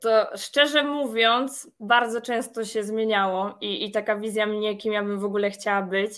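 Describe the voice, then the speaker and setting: A woman speaks at a moderate pace with hardly any pauses, her pitch fairly high and her intonation fairly even. She has an unremarkable speaking voice, and the recording is very clean with a silent background. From Poland, Masovia (small town north of Warsaw). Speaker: project manager and business trainer. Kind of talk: interview.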